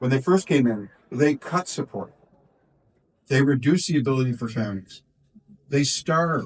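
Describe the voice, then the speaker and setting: A man's fairly high-pitched voice, somewhat breathy. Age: 60s. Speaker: politician. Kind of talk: press interview. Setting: community event. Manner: halting.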